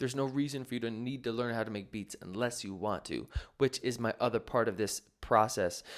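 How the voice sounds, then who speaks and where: A man's normal speaking voice at a medium pitch, fairly quick, with ordinary pitch variation, on a very clean recording with a silent background. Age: 20s. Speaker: podcast host and music producer teaching beat making. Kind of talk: casual solo podcast talk answering listener questions. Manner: casual, with frequent fillers.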